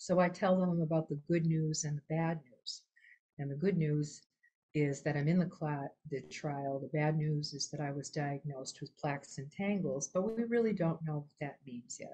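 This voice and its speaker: Dark, mellow, somewhat breathy tone at a moderate pace with ordinary pitch variation. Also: woman, very deep, low pitch for a woman. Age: 70s. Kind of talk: personal testimony in a webinar. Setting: online webinar. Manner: halting, with many fillers and restarts.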